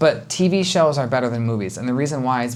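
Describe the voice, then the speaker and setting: Speech races along at a very fast pace over noticeable background noise. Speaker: language teacher and video creator. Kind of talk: educational talk to camera.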